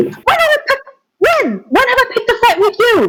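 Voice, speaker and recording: Shouting at a moderate pace, a man does a put-on character voice that is squeaky and extremely high in pitch. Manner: yelling, defensive.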